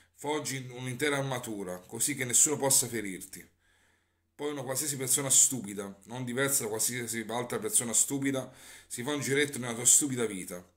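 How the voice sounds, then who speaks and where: A man is talking at a fairly quick pace. His pitch shows ordinary variation. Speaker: poetry reader. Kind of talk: spoken word poetry. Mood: somber, bitter. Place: home room. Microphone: phone near.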